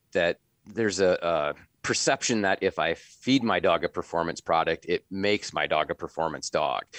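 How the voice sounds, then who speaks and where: The sound is dry and close with no echo, against a quiet background. A man with an American accent talks at a moderate pace. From US Midwest, northwest Iowa. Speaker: veterinarian. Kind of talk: casual interview.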